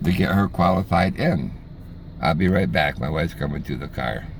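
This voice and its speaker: A man talks at a moderate pace with an American accent. His pitch is very deep and low. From US. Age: 70s. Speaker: retired expat vlogger. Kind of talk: casual vlog monologue. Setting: in a car. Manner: halting, many fillers and repeats.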